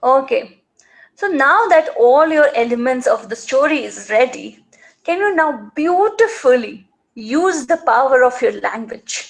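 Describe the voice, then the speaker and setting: A woman with an Indian accent speaks at a fairly slow pace in a high pitch with very wide pitch swings. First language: Marwari. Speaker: storytelling and writing teacher for kids. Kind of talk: live online class for children. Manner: animated, repetitive coaxing.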